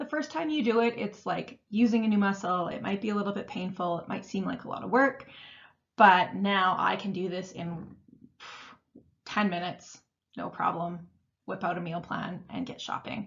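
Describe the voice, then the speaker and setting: Her voice is somewhat breathy. The woman's pitch rises and falls in an ordinary way. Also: medium pitch for a woman, moderate pace. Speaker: meal planning coach. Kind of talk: webinar tutorial. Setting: online webinar.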